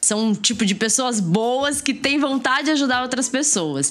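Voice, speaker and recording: Noticeable background noise sits under this recording. The woman's pitch swings very widely. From Brazil, Mato Grosso do Sul. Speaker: university professor and science communicator. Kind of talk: casual podcast interview. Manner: talkative.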